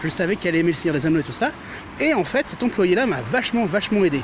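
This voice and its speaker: A man's voice, high in pitch, swings very widely up and down. Noticeable background noise sits behind him. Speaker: vlogger. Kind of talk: casual vlog talk. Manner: fast.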